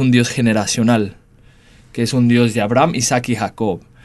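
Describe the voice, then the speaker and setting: Speaking neither fast nor slow, this man's voice sits at a medium pitch. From United States. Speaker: church leader and speaker.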